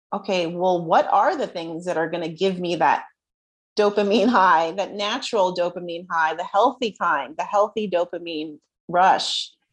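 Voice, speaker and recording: At a moderate pace, a woman with a New Jersey accent talks in a medium-pitched voice with ordinary pitch variation over a quiet background. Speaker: self-worth coach. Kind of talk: casual interview chat.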